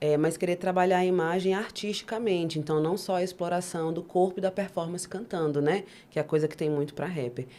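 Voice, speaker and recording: Speech moves at a fairly quick pace with fairly even intonation and hardly any pauses. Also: woman, fairly low pitch for a woman. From Maranhão, Brazil, raised largely in Brasília outskirts. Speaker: rapper and performer. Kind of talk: interview.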